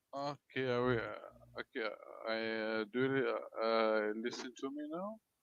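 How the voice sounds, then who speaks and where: A man speaks at medium pitch with a French Canadian accent. His pace is moderate, broken by long, frequent pauses. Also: ordinary pitch variation. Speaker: stream caller. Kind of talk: casual chat. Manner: halting. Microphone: too quiet.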